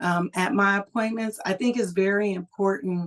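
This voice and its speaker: In a plain, everyday voice, a woman with an American accent speaks at a medium pitch and a fairly slow pace, her intonation fairly even. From California, US. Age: 60s. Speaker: cancer survivor and school social worker. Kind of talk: personal testimony.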